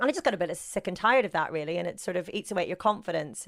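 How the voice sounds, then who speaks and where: A woman with a Northern Irish accent speaks very fast at medium pitch with lively intonation, in a very clean recording with a silent background. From Northern Ireland, rural. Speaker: sports broadcaster. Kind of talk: interview. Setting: podcast.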